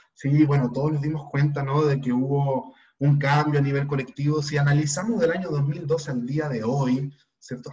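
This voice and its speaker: A man with a Chilean accent sounds somewhat breathy. He speaks at a moderate pace with a fairly high pitch. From Chile, Iquique. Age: 20s. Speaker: spiritual teacher. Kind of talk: online talk.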